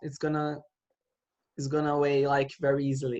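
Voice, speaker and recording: A Portuguese accent against a quiet background. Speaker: Portuguese language teacher. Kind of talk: online language lesson.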